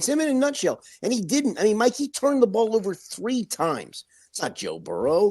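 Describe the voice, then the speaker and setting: Loud and animated, a man speaks at a moderate pace. The sound is dry and close with no echo, against a quiet background. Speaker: sports reporter. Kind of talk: casual chat.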